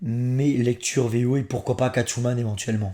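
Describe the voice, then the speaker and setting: The voice is dark and mellow, with fairly even intonation and a fairly slow pace, on a very clean recording with a silent background. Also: man. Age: 30s. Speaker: comics reviewer YouTuber. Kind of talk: casual Q&A vlog.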